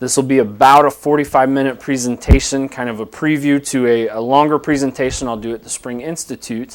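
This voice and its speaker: The voice moves at a fairly quick pace with hardly any pauses. Its intonation stays fairly even, while the loudness swings widely. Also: man, medium pitch for a man. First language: American Sign Language. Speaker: director of deaf services, counselor. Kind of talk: lecture. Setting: live webcast.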